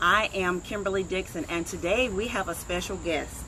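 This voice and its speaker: Moderate pace over noticeable background noise. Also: woman. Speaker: online show host. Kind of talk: casual interview. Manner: loud.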